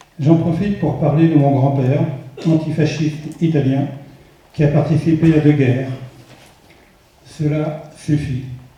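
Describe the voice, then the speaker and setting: Speaking at a fairly slow pace with long, frequent pauses, a man uses a fairly high pitch and monotone, flat intonation amid audible room echo. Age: 70s. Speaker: parliamentary candidate. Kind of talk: political rally speech.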